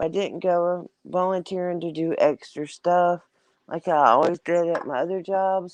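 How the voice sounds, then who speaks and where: A woman with a Southern US accent speaks at a fairly slow pace in a fairly low voice. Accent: southern drawl, country. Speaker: live-stream host. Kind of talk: casual chat. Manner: rambling, filler-heavy.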